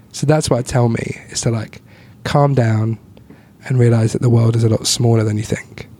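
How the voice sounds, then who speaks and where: A man's monotone, flat delivery at a moderate pace and medium pitch, over noticeable background noise. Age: 20s. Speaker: comedian. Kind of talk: casual chat.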